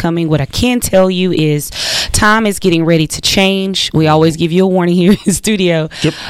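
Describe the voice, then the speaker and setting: American accent at a moderate pace, ordinary pitch variation, noticeable background noise. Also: woman. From US South. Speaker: radio co-host. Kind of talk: radio talk show. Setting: radio studio.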